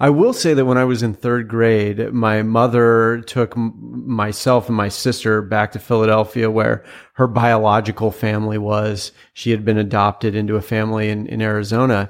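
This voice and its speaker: A man with an American accent and fairly low pitch, moderate pace, monotone, flat intonation, and a quiet background. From Washington State, US Pacific Northwest. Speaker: former presidential candidate. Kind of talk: interview conversation.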